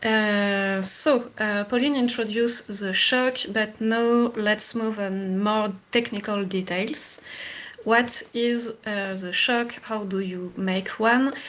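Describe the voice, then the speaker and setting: A very slow pace in a French accent, with fairly even intonation. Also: woman, fairly high pitch for a woman. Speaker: engineer presenting a pilot project. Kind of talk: technical webinar presentation.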